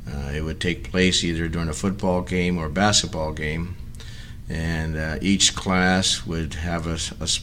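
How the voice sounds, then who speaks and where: Speaking at a fairly slow pace with fairly even intonation, a man with a very deep, low pitch and an American accent is heard in audible room echo. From Hayward, California. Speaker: retired educator. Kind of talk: oral history reminiscence. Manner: halting, many fillers.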